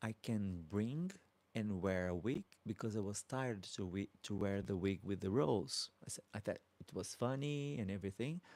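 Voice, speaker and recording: A man's fairly low voice with a Brazilian accent, dark, mellow tone and lively intonation, dry and close with no echo. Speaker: drag queen YouTuber. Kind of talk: live stream Q&A chat. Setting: live stream. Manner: soft-spoken, polite.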